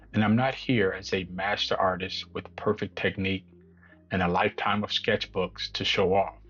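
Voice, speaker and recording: A man's fairly low voice with vocal fry, fairly even intonation and a moderate pace. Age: 50s. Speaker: beginner artist vlogger. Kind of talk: channel introduction monologue.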